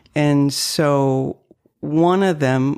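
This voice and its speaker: Here is a woman speaking. Her pitch is very deep and low. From northern Maine, French-Canadian family. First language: French. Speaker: realtor. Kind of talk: interview.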